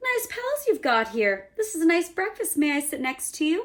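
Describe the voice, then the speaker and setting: In a put-on character voice, a woman talks at a moderate pace with an extremely high, squeaky, croaky pitch that swings very widely. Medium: read story. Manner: small-voiced, friendly.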